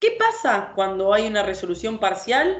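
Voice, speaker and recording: A woman's medium-pitched voice at a fairly slow pace, lively in intonation, with audible room echo. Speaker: law lecturer. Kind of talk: lecture.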